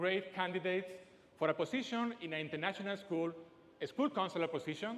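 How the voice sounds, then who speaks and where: High-pitched and lively in intonation, a man talks with a strong Spanish accent. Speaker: speaker. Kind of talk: TEDx talk. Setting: stage with audience.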